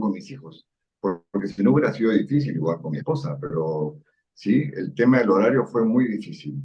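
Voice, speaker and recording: Lively intonation and vocal fry at a fairly quick pace. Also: man. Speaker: parliamentary civil servant. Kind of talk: interview. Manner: calm.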